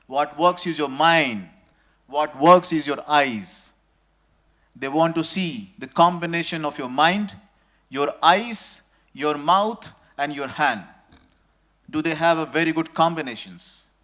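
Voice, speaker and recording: Over a silent background in a very clean recording, a man with a fairly high pitch and a bright, sharp tone speaks very slowly with ordinary pitch variation and long, frequent pauses. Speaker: industry executive giving guest speech. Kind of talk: ceremonial speech to students. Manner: slow, deliberate.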